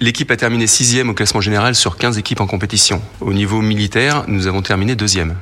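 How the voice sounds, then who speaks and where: A man's fairly low-pitched voice at a very fast pace, with fairly even intonation, very even loudness and noticeable background noise. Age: 50s. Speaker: military chef. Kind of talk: radio interview.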